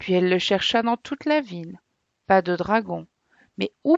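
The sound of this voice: An unforced reading voice with lively intonation. Behind it, the background stays quiet.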